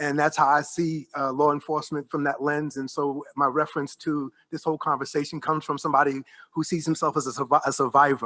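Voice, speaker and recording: A New York accent comes through at a very fast pace, flat and monotone in a bright, sharp tone. The sound is dry and close with no echo, over a quiet background. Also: man, fairly high pitch for a man. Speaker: professor. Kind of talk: roundtable discussion. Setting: panel before observers.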